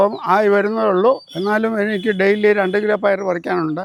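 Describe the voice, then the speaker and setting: The voice belongs to a man. It sits high in pitch. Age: 70s. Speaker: farmer. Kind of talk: casual explanation on a farm tour. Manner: halting.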